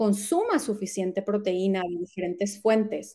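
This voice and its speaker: With an ordinary speaking voice, a woman speaks at medium pitch and a fairly slow pace. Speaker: health coach. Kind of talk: casual interview chat.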